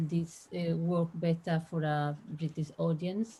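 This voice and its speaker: Speaking with a Spanish accent, this voice has a dark, mellow tone, a somewhat breathy quality, and monotone, flat intonation. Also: woman. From Spain. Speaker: translator. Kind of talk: Q&A discussion.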